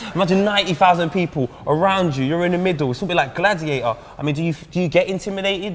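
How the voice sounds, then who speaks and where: A man's high-pitched voice at a very fast pace with ordinary pitch variation and noticeable background noise. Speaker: football presenter. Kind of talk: casual interview.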